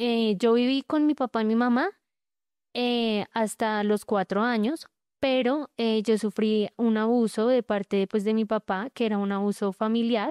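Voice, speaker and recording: A woman's unremarkable speaking voice, fairly high in pitch, at a fairly slow pace with very even loudness and fairly even intonation, dry and close with no echo over a quiet background. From Colombia, Bogotá. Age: 20s. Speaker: abuse survivor telling her story. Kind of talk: testimony.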